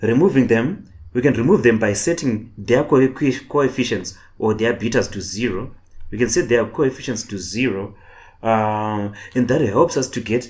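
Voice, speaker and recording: A man's medium-pitched voice with a non-native accent, moderate pace and ordinary pitch variation, in a very clean recording with a silent background. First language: not English. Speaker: online tutor. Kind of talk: lecture. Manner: halting, repetitive.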